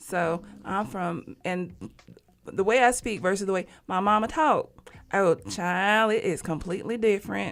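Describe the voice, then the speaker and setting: Here a woman speaks with an Alabama accent. Her pace is fairly slow. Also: medium pitch for a woman, ordinary pitch variation. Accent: Southern US (Alabama). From US South, Huntsville, Alabama. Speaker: talk show guest. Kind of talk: casual chat.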